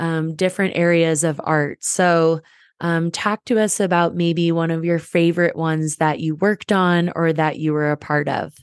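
A woman's plain, everyday voice, fairly low in pitch, at a fairly slow pace with fairly even intonation, over a quiet background. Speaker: podcast host. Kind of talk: casual interview chat.

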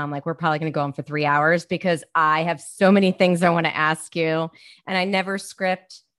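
Against a quiet background, a woman with an American accent speaks at a very fast pace with a very deep, low pitch, fairly even intonation, and a dry, close sound with no echo. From Baltimore, Maryland. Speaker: podcast host. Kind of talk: podcast interview.

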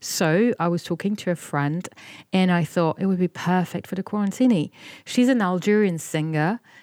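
With a medium pitch and ordinary pitch variation, a woman talks at a moderate pace in a dry, close, echo-free recording that is very clean, with a silent background. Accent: French. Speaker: podcast co-host and journalist. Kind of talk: casual chat.

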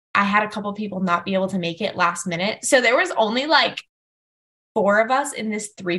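With lively intonation and a fairly high pitch, a woman talks at a moderate pace in a plain, everyday voice. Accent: American. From Fort Lauderdale area, Florida. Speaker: wedding planner. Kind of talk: casual chat.

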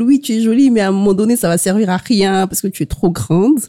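A medium-pitched woman with a dark, mellow tone. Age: young. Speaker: copywriter. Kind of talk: casual chat.

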